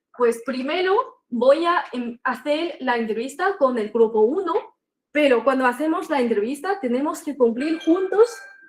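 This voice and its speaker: At a fairly slow pace, a woman with a Chinese accent speaks in a high pitch with very wide pitch swings. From China. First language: Chinese (speaking Spanish). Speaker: doctoral student presenter. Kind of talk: academic presentation. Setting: conference room, also streamed online. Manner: halting, with frequent fillers.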